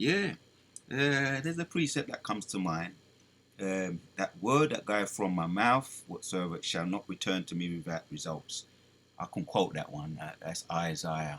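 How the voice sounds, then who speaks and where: A man talks at a very deep, low pitch and a moderate pace. His pitch swings very widely. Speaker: bible teacher. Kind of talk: bible study. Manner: halting.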